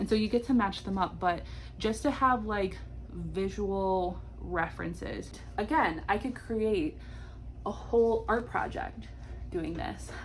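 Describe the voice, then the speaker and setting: A woman speaks at a fairly slow pace, with long, frequent pauses. Audible echo fills the room. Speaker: homeschooling mom and early childhood educator. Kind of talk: tutorial. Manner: animated.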